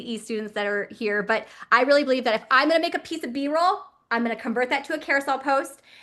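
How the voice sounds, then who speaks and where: Using a raised, projected voice, a woman speaks at a very fast pace with a high pitch, a bright, sharp tone, and ordinary pitch variation. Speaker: online business coach. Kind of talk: webinar presentation. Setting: live stream. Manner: animated.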